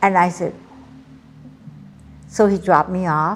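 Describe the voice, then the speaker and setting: Music plays in the background as someone with a Hawaiian accent speaks at a fairly slow pace. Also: woman. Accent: Hawaii local English. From Hawaii, Oahu. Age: 80s+. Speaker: elderly storyteller. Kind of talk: personal testimony.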